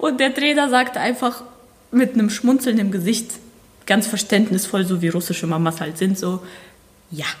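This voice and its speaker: Against noticeable background noise, a woman with a fairly high pitch and lively intonation talks at a moderate pace, pausing long and often. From Germany, born in Ukraine. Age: 20s. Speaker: ballroom dancer and dance coach. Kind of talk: interview.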